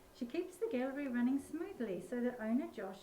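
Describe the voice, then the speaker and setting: Over noticeable background noise, a woman with an Australian accent talks fairly quickly in a high pitch with very wide pitch swings. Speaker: author. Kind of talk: reading aloud; casual chat.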